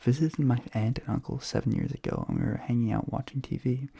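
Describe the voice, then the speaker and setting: A soft-spoken man whispers in a somewhat breathy voice. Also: dry, close sound with no echo. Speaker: ASMR content creator. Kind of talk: ASMR reading, casual talk to camera. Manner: soft-spoken, whispery; whispering.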